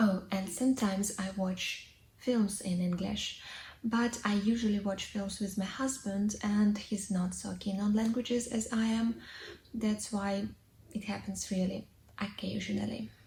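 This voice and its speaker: With a dark, mellow tone, a woman speaks at medium pitch and a fairly slow pace, sounding somewhat breathy. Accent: Russian. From Russia. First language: Russian. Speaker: English teacher, vlogger. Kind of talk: casual vlog monologue. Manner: hesitant, with fillers.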